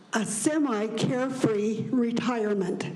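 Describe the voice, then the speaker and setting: A woman speaks at a very slow pace, with a fairly high pitch and an American accent. Her pitch varies in an ordinary way, and there is noticeable background noise along with audible room echo. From Utah. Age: 80s+. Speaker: retiree speaking at public hearing. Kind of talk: public comment. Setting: public hearing.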